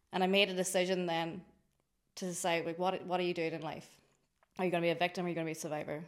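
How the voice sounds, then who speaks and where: A woman with a Donegal accent talks at a very fast pace with fairly low pitch and monotone, flat intonation. Her speech has long, frequent pauses. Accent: Donegal Irish. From Ireland, County Donegal. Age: 30s. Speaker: drinks company founder. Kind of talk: interview conversation.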